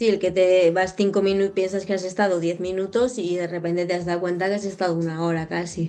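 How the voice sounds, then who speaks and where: A woman's medium-pitched voice, fairly quick with hardly any pauses, in monotone, flat intonation. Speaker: podcast host and hypnotherapist. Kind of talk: casual interview chat.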